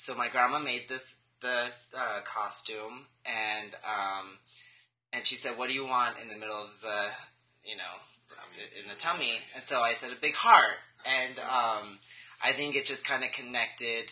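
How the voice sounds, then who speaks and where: A man with an American accent and a medium pitch speaks at a moderate pace with fairly even intonation, long, frequent pauses and big swings in loudness over noticeable background noise. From Los Angeles, California. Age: 20s. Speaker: interview guest, therapy student. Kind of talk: interview.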